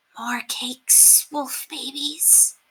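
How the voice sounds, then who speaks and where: A woman whispers in a raspy, put-on character voice. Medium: read story. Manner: cryptic, broken English.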